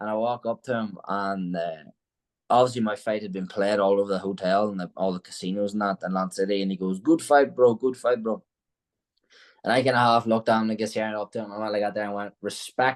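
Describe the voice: A fairly quick pace with fairly even intonation. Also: man, fairly low pitch for a man.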